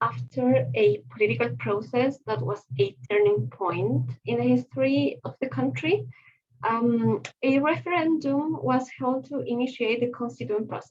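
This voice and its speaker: A woman with a Spanish accent speaks at a fairly slow pace, her pitch swinging very widely, with vocal fry. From Chile. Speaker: conference presenter. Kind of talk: conference presentation. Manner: halting, many fillers.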